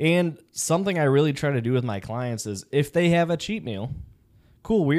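An unremarkable speaking voice from a man with an American accent, fairly high in pitch, at a moderate pace with lively intonation, in a very clean recording with a silent background. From Chicago, US Midwest. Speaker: police officer and personal trainer. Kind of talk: casual chat.

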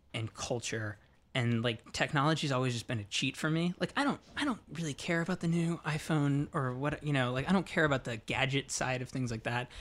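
On a very clean recording with a silent background, the speaker goes at a moderate pace and shows ordinary pitch variation. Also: man. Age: 30s. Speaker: tech journalist. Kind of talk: casual interview conversation. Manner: hesitant, filler-heavy speech.

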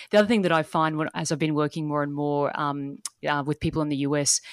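Her pitch is very deep and low for a woman. She has an Australian accent and fairly even intonation. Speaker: life and business strategist, dance teacher. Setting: remote call from Australia.

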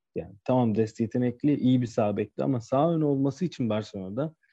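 A man speaks at a moderate pace and medium pitch with ordinary pitch variation. His tone is dark and mellow, in a dry, close sound with no echo. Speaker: football podcast co-host. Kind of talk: casual chat.

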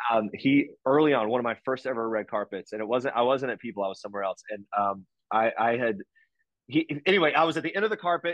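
A man with an American accent speaks in an unremarkable speaking voice. His pace is fairly quick and his intonation lively. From US South, West Virginia. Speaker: entertainment news journalist. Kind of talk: casual chat.

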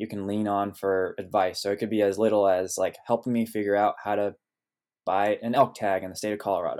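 This man talks at a fairly quick pace. His pitch is fairly low and his intonation is monotone and flat. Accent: American. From California, Sonoma Valley. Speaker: founder of a hunting diversity organization. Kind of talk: interview. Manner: hesitant, many ums.

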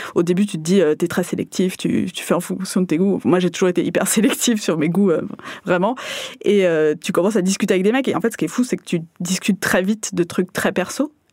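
A woman at a medium pitch, with ordinary pitch variation and a fairly quick pace. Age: 30s. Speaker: Tinder user sharing experience. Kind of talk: casual chat. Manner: halting.

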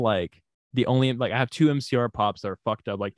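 A man with a slight Southern US accent talks with ordinary pitch variation. The sound is dry and close with no echo against a quiet background. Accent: slight Southern drawl. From Houston, Texas. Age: 20s. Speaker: musician. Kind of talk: casual interview.

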